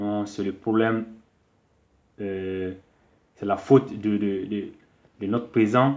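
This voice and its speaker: A man's fairly low voice at a very slow pace, with long, frequent pauses and fairly even intonation. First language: a Malian language (not French) (speaking French). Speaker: political commentator. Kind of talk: monologue to camera, political address. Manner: hesitant with fillers.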